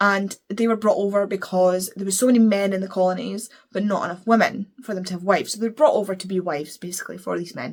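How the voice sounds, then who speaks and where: Speaking at a very fast pace with hardly any pauses, a woman at medium pitch shows big swings in loudness. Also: fairly even intonation. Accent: Scottish. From Scotland. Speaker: book reviewer. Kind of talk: casual chat.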